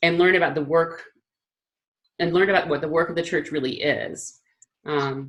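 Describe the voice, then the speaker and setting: This woman talks at a fairly quick pace, her fairly low voice moving with ordinary pitch variation. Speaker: church teacher. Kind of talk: teaching talk. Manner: fast; halting.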